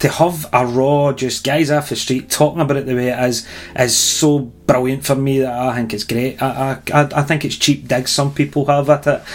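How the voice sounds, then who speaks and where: With a Scottish accent, the speaker keeps a moderate pace and a flat, monotone delivery with hardly any pauses, over noticeable background noise. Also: man, fairly high pitch for a man. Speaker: wedding band musician, podcast co-host. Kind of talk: casual chat.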